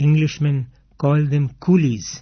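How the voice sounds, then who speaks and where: A man's fairly high, somewhat breathy voice moves along at a moderate pace. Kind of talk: radio broadcast reading of an autobiographical text.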